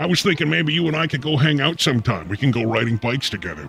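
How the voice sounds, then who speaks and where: Over background music, a man at medium pitch talks at a very fast pace, his pitch swinging very widely. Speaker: comedy advice show host. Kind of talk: call-in radio show hosting.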